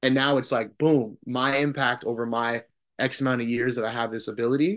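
A man talks at a fairly quick pace in an ordinary speaking voice. His pitch sits in the middle range, with a quiet background. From Arizona. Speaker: swim coach and Navy veteran. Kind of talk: casual interview.

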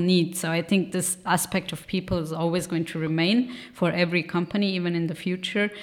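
A woman speaks at a fairly low pitch. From Switzerland, Bern. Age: 30s. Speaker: organizational psychologist. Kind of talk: casual interview. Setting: office studio.

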